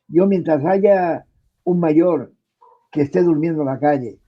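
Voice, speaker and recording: This man talks at a fairly slow pace. His pitch is high. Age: 70s. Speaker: senior radio program host, interviewee. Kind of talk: interview. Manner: impassioned.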